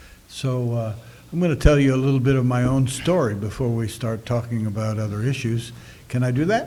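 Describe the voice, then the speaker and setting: With audible room echo, a man talks at a moderate pace in a medium-pitched voice with a dark, mellow tone. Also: ordinary pitch variation. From US West, Sacramento, California. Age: 70s. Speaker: pastor. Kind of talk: interview testimony via interpreter. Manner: short phrases paused for interpretation.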